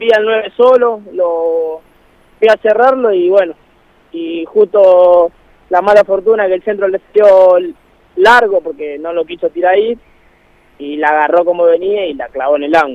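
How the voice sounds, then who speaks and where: Speaking at a fairly slow pace, a man uses ordinary pitch variation and leaves long, frequent pauses. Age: 20s. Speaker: football player. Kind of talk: interview. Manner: halting.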